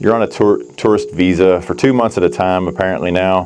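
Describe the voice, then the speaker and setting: Noticeable background noise runs behind the speech. A man talks at a fairly quick pace with an American accent. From USA. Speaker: vlogger. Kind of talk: personal vlog monologue. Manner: conversational.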